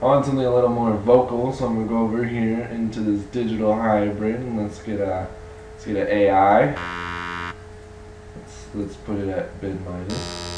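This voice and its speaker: A moderate pace, fairly even intonation and big swings in loudness, with audible room echo and noticeable background noise. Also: man, fairly low pitch for a man. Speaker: music production tutor. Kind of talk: tutorial.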